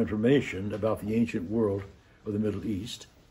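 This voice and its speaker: A man's somewhat breathy voice, medium in pitch, is heard with audible room echo. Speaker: priest teaching adult Sunday school. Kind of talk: lecture. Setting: classroom in a church. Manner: quiet.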